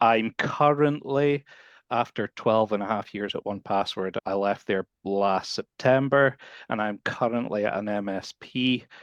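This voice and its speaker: A man at a moderate pace with ordinary pitch variation, in a dry, close sound with no echo against a quiet background. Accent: Scottish. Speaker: support professional. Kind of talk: podcast interview.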